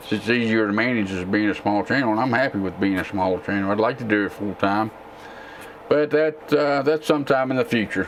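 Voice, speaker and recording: A man with a Texan accent speaks with ordinary pitch variation. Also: medium pitch for a man. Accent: southern drawl, Texan-sounding. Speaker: tech YouTuber and gamer. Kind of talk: casual live-stream Q&A. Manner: relaxed, with frequent fillers.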